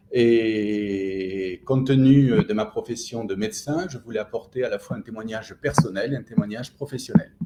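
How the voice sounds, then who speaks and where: A man speaks at a moderate pace and medium pitch, with ordinary pitch variation, big swings in loudness, hardly any pauses, and noticeable background noise. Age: 60s. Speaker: general practitioner. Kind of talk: interview testimony. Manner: enthusiastic; hesitant, many fillers.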